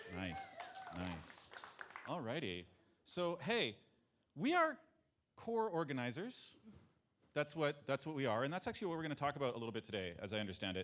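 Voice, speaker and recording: With an American accent and vocal fry, the voice moves at a fairly quick pace with very wide pitch swings and long, frequent pauses. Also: man, fairly high pitch for a man. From France. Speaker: conference organizer. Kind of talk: conference talk.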